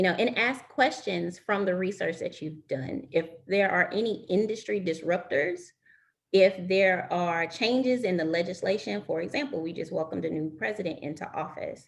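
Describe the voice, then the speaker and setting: A woman with an unremarkable speaking voice talks at a medium pitch. Her pace is moderate and her intonation lively. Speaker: recruiter giving career advice. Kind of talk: webinar presentation.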